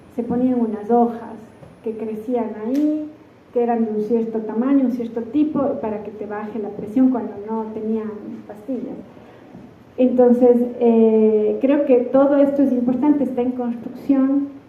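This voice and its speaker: Through audible room echo and noticeable background noise, a woman with an Andean Ecuadorian accent speaks fairly slowly with fairly even intonation. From Ecuador, Cuenca (southern Andes). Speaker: architect and university researcher. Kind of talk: conference keynote talk. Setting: stage with audience at a seminar. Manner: halting, many filler sounds.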